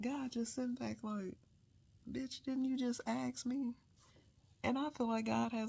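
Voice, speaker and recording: The woman is soft-spoken and keeps a moderate pace. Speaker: solo vlogger. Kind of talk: casual late-night monologue.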